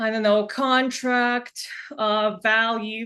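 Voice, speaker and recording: Against a quiet background, a woman with a non-native accent speaks in a bright, sharp tone with fairly even intonation. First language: not English. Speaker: software product demonstrator. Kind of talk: product demo.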